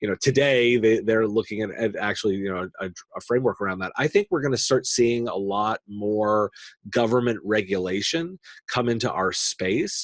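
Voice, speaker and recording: A man with a normal speaking voice and an American accent speaks at a moderate pace and medium pitch with ordinary pitch variation, the sound dry and close with no echo. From United States. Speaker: tech podcaster and industry analyst. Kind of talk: podcast interview.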